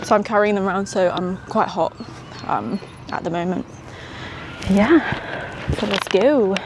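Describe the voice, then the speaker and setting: A woman speaks with ordinary pitch variation and long, frequent pauses. Noticeable background noise runs under her voice. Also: medium pitch for a woman, moderate pace. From England, West Midlands (small town near Birmingham). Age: 20s. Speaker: entrepreneur vlogger. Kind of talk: casual vlog. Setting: outdoors, walking in park. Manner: casual, hesitant with fillers.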